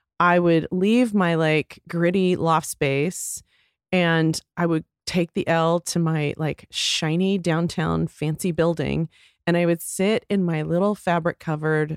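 A woman uses a normal speaking voice with an American accent, a fairly low pitch and fairly even intonation. She talks at a fairly slow pace on a very clean recording with a silent background. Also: dry, close sound with no echo. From Texas. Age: 50s. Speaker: beauty entrepreneur. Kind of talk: casual interview.

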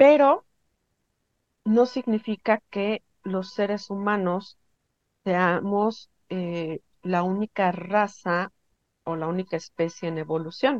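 A woman speaks very slowly, with long, frequent pauses, at a medium pitch and ordinary pitch variation. The sound is dry and close, with no echo. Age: 50s. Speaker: spiritual healer. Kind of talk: interview.

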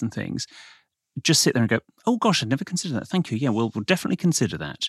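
A man speaks with a Received Pronunciation accent. The sound is dry and close with no echo, a very clean recording with a silent background. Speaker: podcast co-host. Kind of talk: casual chat. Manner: formal, old-fashioned BBC-style delivery.

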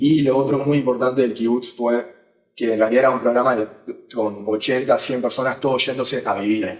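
A man speaks at a fairly quick pace in a medium pitch, with a Rioplatense accent. His intonation stays monotone and flat. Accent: Rioplatense Spanish (voseo). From Uruguay. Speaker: venture capital investor. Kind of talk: interview.

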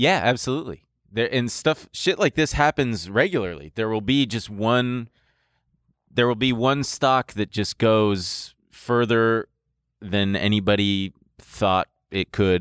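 On a very clean recording with a silent background, a man speaks at a fairly slow pace. The sound is dry and close with no echo. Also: medium pitch for a man, lively intonation. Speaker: podcast host. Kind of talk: casual comedic banter. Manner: animated, sing-song jingle-humming and comic impression.

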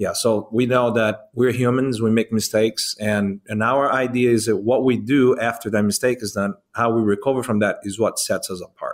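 The speaker has a Brazilian accent and a moderate pace. Intonation is monotone and flat, with hardly any pauses. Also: man, medium pitch for a man. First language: Portuguese. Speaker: restaurant owner. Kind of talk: casual interview chat.

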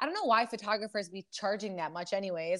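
Her voice is fairly high, and she speaks with fairly even intonation. The background is quiet. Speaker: podcast host. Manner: fast talker.

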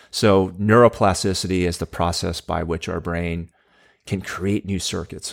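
A man with an American accent speaks in a very deep, low pitch at a fairly slow pace. The recording is very clean, with a silent background. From Southern California (Anaheim). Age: 40s. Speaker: neuroscientist and tech entrepreneur. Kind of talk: interview. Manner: halting, many fillers.

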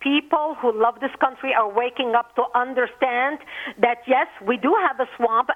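Over noticeable background noise, a woman with a high-pitched voice talks at a moderate pace. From Lebanon. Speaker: activist, organization founder. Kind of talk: interview. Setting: phone call.

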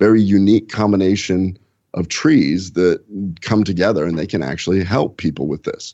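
Very deep and low, a man's voice carries ordinary pitch variation. He speaks at a moderate pace. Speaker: gastroenterologist. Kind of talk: podcast interview. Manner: enthusiastic.

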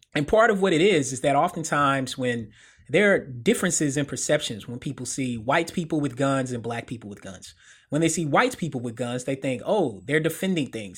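In a very clean recording with a silent background, a normal speaking voice with an American accent goes at a fairly quick pace, with big swings in loudness and lively intonation. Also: man, fairly high pitch for a man. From US South, middle Tennessee. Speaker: sociologist. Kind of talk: interview.

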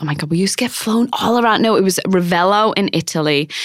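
A woman with a Manchester accent, medium in pitch with ordinary variation, in a dry, close sound with no echo. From northern England. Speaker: beauty brand co-founder and fashion correspondent. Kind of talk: casual interview chat.

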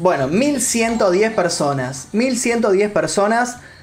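A man is speaking. His intonation is lively. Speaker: streamer and YouTuber. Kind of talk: live stream chat. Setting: live stream. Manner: casual, chatty.

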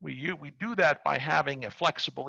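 A man with an American accent, medium pitch and a bright, sharp tone with vocal fry, in a dry, close recording with no echo and a quiet background. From New York, Brooklyn. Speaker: technology executive and board advisor. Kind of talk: casual interview.

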